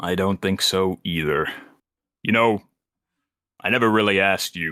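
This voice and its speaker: Using a put-on character voice, a man speaks at a fairly low pitch and a moderate pace in a very clean recording with a silent background. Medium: actual play. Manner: calm, measured.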